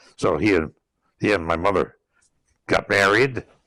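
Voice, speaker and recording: With an American accent, a man talks at a moderate pace and ordinary pitch variation on a very clean recording with a silent background. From western Massachusetts, US. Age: 100s (80s+). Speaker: war veteran. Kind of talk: oral history interview. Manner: halting, with many fillers and repetitions.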